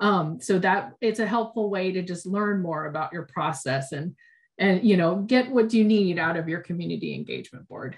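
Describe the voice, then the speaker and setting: Her voice is somewhat breathy, at medium pitch. The woman's intonation is lively. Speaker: education program manager. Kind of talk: online training presentation. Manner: fast; hesitant with many fillers.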